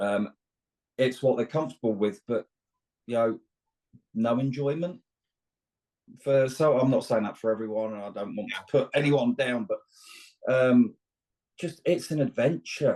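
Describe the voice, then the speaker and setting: In a British accent, a man speaks at a moderate pace with a medium pitch and ordinary pitch variation. His dark, mellow tone is broken by long, frequent pauses. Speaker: long-distance truck driver and outdoor instructor. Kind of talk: casual interview chat. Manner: halting, with frequent repetitions.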